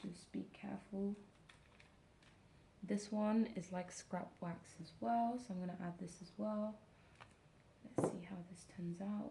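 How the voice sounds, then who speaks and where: Soft-spoken and at a fairly slow pace, a woman talks with medium pitch and fairly even intonation, leaving long, frequent pauses amid noticeable background noise. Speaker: ASMR content creator, wax seal hobbyist. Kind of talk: ASMR sleep relaxation talk, explaining a craft. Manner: quiet, slow, soft-spoken.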